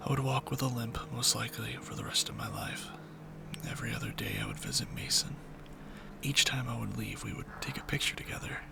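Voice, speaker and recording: Someone whispers at a fairly quick pace. Noticeable background noise sits behind the voice. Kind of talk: horror story reading.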